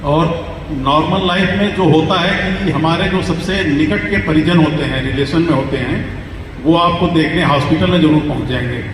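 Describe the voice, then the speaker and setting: A man's fairly high voice, with ordinary pitch variation, is heard amid audible room echo and noticeable background noise. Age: 60s. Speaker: retired police officer. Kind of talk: testimony.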